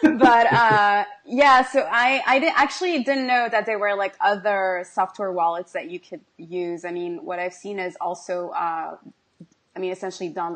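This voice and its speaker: A woman with a French accent, at a moderate pace, with lively intonation and big swings in loudness. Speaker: crypto video host. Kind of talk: interview.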